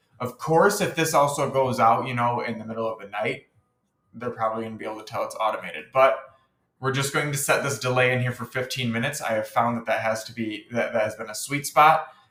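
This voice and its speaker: A man speaks at a fairly quick pace in a medium pitch with ordinary pitch variation. Music plays in the background. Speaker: marketing tutorial creator. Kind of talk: tutorial. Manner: casual.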